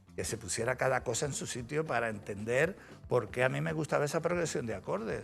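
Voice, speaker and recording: Speaking at a fairly quick pace in an Andalusian accent, a man swings his pitch very widely over music in the background. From Andalusia, Spain (Cádiz). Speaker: musician, former band drummer and music producer. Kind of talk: interview. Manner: animated.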